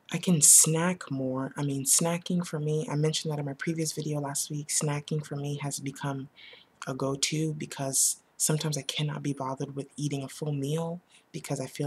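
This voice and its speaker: A soft-spoken woman with a very deep, low pitch and a somewhat breathy voice talks at a fairly quick pace with fairly even intonation, in a very clean recording with a silent background. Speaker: vlogger sharing weight loss surgery experience. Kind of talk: casual vlog monologue. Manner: halting, with many fillers.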